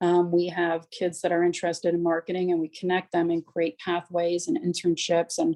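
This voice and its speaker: The sound is dry and close, with no echo at all. A dark, mellow tone comes through. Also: woman. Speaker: town economic development official. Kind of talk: public meeting presentation. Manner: fast.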